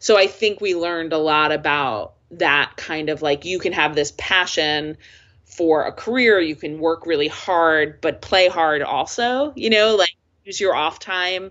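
A woman with an American accent and a normal speaking voice, at fairly low pitch with ordinary pitch variation and a fairly slow pace. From US, northern New Jersey. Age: 50s. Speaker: nonprofit executive director. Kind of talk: interview.

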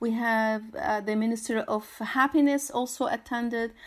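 Speaking with an Arabic accent, a woman keeps a moderate pace and a fairly even intonation. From Syria. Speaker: artist and environmental activist. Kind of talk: interview. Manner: halting, many fillers and repetitions.

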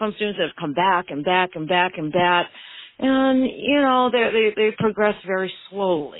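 A plain, everyday voice from a woman with an American accent, medium pitch, ordinary pitch variation and a moderate pace. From Maine, US. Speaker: permanent makeup artist and business owner. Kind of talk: interview.

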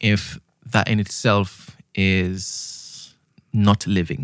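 A man with a Trinidadian accent speaks at a fairly low pitch and very even loudness, recorded very cleanly against a silent background. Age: 40s. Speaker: sound engineer. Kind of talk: casual chat. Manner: smooth.

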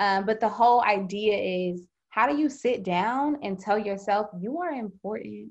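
With an ordinary speaking voice, a woman speaks at a moderate pace in a fairly high pitch with ordinary pitch variation over a quiet background. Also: hardly any pauses. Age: 20s. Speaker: organization founder, author and performer. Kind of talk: casual interview chat. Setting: remote call.

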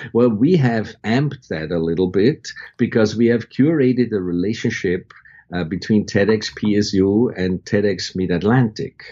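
A man speaks at a fairly slow pace in a fairly low voice. His pitch varies in an ordinary way. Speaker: university creative director and faculty advisor. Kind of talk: interview conversation. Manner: slower speech.

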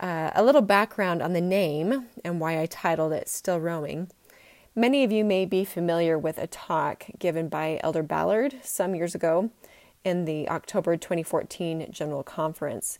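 A woman with a Utah accent speaks at a fairly low pitch. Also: ordinary pitch variation, moderate pace, very clean recording, silent background. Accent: American (Utah). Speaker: podcast host. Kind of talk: personal storytelling monologue.

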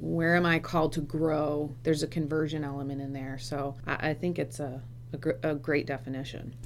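With an American accent, a woman talks at a fairly quick pace, her very deep, low pitch carrying vocal fry and a fairly even intonation. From US, Michigan, Vermont and Kentucky. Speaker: podcast co-host, church pro-life staffer. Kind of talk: interview.

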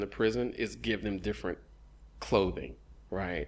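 A man's fairly low pitch with vocal fry and ordinary pitch variation. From Houston area, Texas (Missouri City). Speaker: visual artist. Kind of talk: casual chat. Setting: artist's studio.

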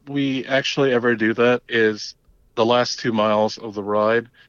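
With an American accent, a man speaks at medium pitch in a normal speaking voice. He keeps a moderate pace against a quiet background. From Long Island, New York. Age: 40s. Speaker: cycling team member. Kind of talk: casual chat.

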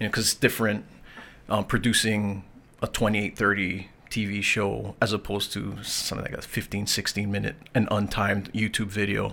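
A man's fairly low voice has a bright, sharp tone and a monotone, flat intonation as he talks at a moderate pace. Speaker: documentary filmmaker. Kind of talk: interview. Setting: studio, filmed on camera.

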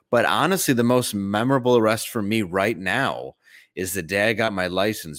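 The speaker has an ordinary speaking voice with an American accent. The recording is very clean, with a silent background. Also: man, dry, close sound with no echo. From Detroit, Michigan. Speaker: comedian. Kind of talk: casual chat.

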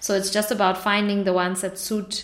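A woman with a German accent speaks at a medium pitch in a monotone, flat way. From northern Germany. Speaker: entrepreneur. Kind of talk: interview.

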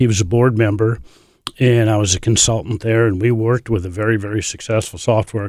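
Recorded very cleanly over a silent background with a dry, close sound and no echo, a man with a Midwestern American accent speaks with fairly low pitch and fairly even intonation. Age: 60s. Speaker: barn reclamation business partner, former tech worker. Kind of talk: casual interview.

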